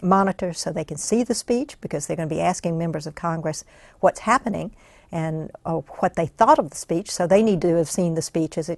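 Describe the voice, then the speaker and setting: In a dry, close recording with no echo and a quiet background, a woman speaks in a plain, everyday voice pitched fairly low. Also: ordinary pitch variation, fairly quick pace. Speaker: congressional press gallery director. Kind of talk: oral history interview answer.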